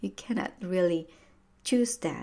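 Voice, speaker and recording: A woman speaks with a Filipino accent on a very clean recording with a silent background. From Philippines. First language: Tagalog. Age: 30s. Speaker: podcast host, personal growth coach. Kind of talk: motivational podcast monologue. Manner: casual, halting with many fillers.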